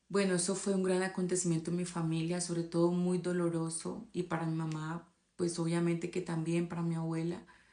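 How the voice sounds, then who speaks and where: A woman talks at a fairly quick pace in a fairly low, dark, mellow voice with monotone, flat intonation. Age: 20s. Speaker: abuse survivor telling her story. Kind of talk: testimony. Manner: halting, with fillers.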